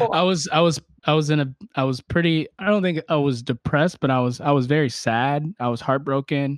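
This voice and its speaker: Fairly quick and fairly high, a man talks with ordinary pitch variation. The sound is dry and close, with no echo. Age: 30s. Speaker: philosopher and author. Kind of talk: casual interview. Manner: halting, many repetitions and fillers.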